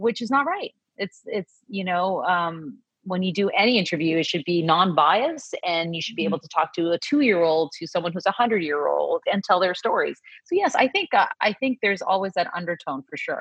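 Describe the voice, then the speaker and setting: This is a normal speaking voice moving at a fairly quick pace. The intonation is lively. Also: woman, medium pitch for a woman. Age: 40s. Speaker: podcast co-host, journalist. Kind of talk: casual chat. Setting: video call.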